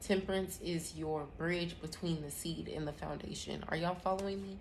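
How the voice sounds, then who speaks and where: A woman speaks. Some room echo can be heard. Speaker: tarot reader and astrology host. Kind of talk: live tarot reading.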